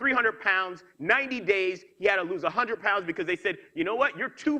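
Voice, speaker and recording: An energetic, raised and projected voice carries a New York accent and a bright, sharp tone. Its pitch swings very widely. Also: man. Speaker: motivational speaker. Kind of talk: keynote speech. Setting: stage with audience. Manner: fast.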